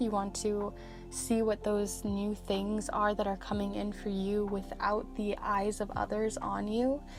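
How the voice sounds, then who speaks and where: A woman's fairly high-pitched voice over background music. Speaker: tarot reader. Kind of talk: soft-spoken ASMR tarot reading, slow and calm.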